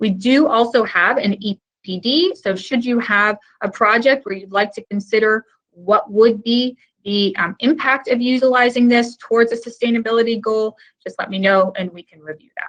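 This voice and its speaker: At a moderate pace, a woman with an unremarkable speaking voice talks at a fairly high pitch with ordinary variation and big swings in loudness. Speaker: technical sales manager presenting a webinar. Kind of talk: webinar presentation. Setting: online webinar.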